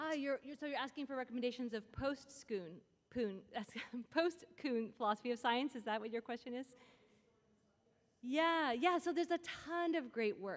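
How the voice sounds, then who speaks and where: A loud, high-pitched woman's voice at a fairly quick pace, with ordinary pitch variation. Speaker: philosopher of science, symposium speaker. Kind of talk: lecture with audience Q&A. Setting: stage with audience.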